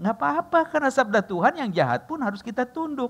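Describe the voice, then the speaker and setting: With very wide pitch swings, a man delivers his words at a fairly quick pace. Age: 60s. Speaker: pastor. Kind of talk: sermon. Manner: casual, joking asides.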